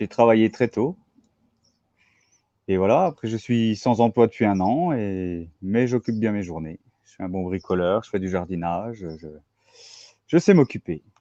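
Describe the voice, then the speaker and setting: A man with a dark, mellow tone and a fairly low pitch talks at a fairly slow pace, with ordinary pitch variation and long, frequent pauses. His loudness swings widely, and the sound is dry and close with no echo against a quiet background. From Franche-Comté, eastern France. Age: 40s. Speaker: invited channel subscriber. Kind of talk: live interview.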